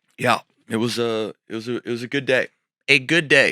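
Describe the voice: A man speaks at medium pitch and a fairly quick pace, his voice raspy with a bright, sharp tone. The sound is dry and close, with no echo.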